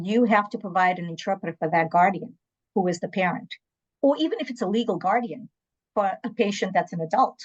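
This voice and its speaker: The speaker talks at a very fast pace but leaves long, frequent pauses. The voice is somewhat breathy, with ordinary pitch variation. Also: woman, medium pitch for a woman. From southern Africa (born Angola, raised South Africa), moved to Massachusetts at 12. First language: Portuguese. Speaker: nurse and medical interpreter. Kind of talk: panel interview.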